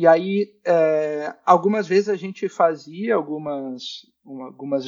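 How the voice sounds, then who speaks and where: A man talks with a high pitch. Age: 20s. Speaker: podcast guest, social media creator on masculinity. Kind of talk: casual chat.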